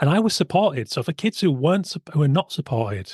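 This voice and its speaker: Speaking with a Yorkshire accent, a man has a fairly high, somewhat breathy voice. His pitch swings very widely, and the sound is dry and close with no echo. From West Yorkshire, England. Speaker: podcast host, illustrator. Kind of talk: podcast interview.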